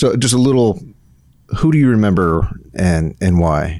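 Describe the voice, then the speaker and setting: A man with an unremarkable speaking voice talks at a moderate pace, his fairly low pitch carrying lively intonation. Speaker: podcast host. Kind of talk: casual chat.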